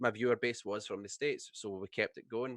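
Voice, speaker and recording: A man's medium-pitched voice in a Scottish accent, monotone and flat, with a dry, close sound and no echo. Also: quiet background. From Scotland. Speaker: streamer. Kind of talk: casual chat.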